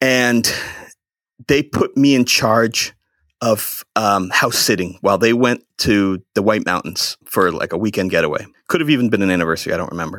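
A man with an American accent has an ordinary speaking voice and a fairly low pitch. He talks at a moderate pace with ordinary pitch variation. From central Massachusetts. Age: 30s. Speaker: podcast guest. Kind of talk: casual chat.

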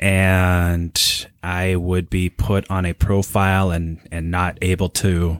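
Very deep and low in pitch, a man speaks with monotone, flat intonation. He has an American accent, and the recording is very clean with a silent background. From Minnesota, Minneapolis suburbs. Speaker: war veteran and mental health therapist. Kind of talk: interview.

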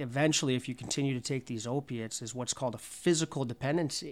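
The recording is very clean with a silent background as a man speaks at a medium pitch with ordinary pitch variation. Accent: Canadian. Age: 30s. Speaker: recovering addict, community founder. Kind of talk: testimony. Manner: halting.

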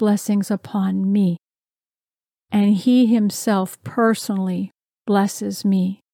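A woman speaks very slowly at medium pitch in a dark, mellow, warm and solemn tone, somewhat breathy with fairly even intonation. The recording is very clean, dry and close, with a silent background and no echo. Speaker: devotional speaker. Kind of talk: fervent prayer and spoken blessing, declared over the listener. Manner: earnest, warm, solemn.

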